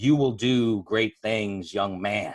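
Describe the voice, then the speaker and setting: A man puts on a booming character voice, pitched fairly low, with fairly even intonation. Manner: commanding, solemn.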